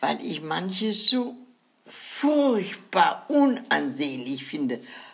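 Her pitch is medium, and a woman speaks at a very slow pace with very wide pitch swings. Audible room echo surrounds her voice. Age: 90s. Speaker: grandmother storyteller. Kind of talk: casual chat.

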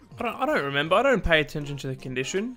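With music in the background, a man speaks at a very fast pace in a fairly high pitch. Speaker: YouTuber, game streamer. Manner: casual, joking, persuasive.

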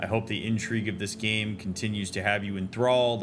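Over noticeable background noise, a man talks at a fairly quick pace in a fairly low pitch with fairly even intonation. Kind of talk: casual gameplay commentary. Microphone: studio mic.

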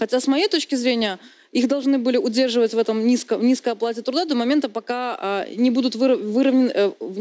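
Very fast speech from a woman with a high pitch, a dark, mellow tone and ordinary pitch variation. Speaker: journalist, deputy chief editor; talk show guest. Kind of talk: TV talk show discussion. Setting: TV studio. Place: studio.

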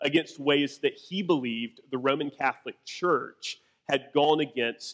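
A man uses ordinary pitch variation at a moderate pace, with a quiet background behind him. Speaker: pastor. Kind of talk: sermon. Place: church.

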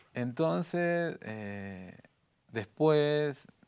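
Lively intonation marks this man's speech. Behind him, things stay quiet. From Argentina, San Miguel de Tucumán; Argentina. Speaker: visual artist; guest. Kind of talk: interview; interview answer. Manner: halting. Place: studio. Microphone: lapel.

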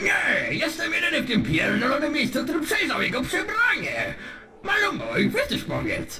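A man speaks in a put-on character voice at a moderate pace. Loud background noise fills the recording. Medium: dub. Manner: loud, shouting, agitated.

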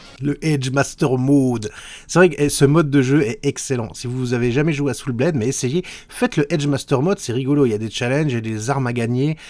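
A man speaks at a fairly quick pace. His pitch shows ordinary variation. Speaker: YouTuber; youtuber commenting his old video. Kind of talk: video commentary. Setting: home recording, live-style setup. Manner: hesitant, many filler sounds. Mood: relaxed, amused. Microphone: studio mic.

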